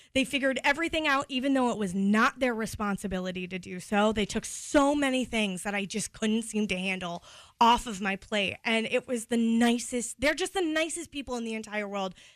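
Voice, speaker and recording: Using a normal speaking voice, a woman talks at a fairly quick pace and a fairly high pitch with hardly any pauses. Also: lively intonation. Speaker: radio co-host. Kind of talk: casual chat.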